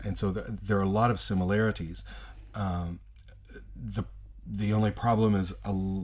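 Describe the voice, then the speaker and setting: With an American accent, a man speaks at a fairly low pitch in monotone, flat intonation, with long, frequent pauses. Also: moderate pace. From US South. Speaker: teacher. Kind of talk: casual chat. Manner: halting.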